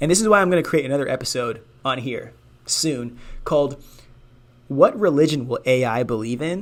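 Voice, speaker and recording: Animated and fairly quick, a man with a fairly high pitch talks but breaks off in long, frequent pauses. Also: lively intonation. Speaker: podcast host. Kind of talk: casual monologue. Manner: fast.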